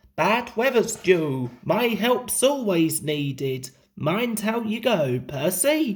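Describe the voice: A man does a put-on character voice with high pitch. He speaks at a slow pace with big pitch swings.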